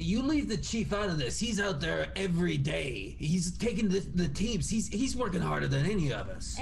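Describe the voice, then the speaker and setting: A man puts on a character voice, speaking at a moderate pace with clear background noise behind him. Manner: protective, indignant.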